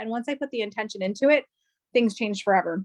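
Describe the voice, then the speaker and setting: The sound is dry and close, with no echo. A woman with a fairly high voice speaks very fast. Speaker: network marketing distributor. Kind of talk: business opportunity presentation. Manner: animated.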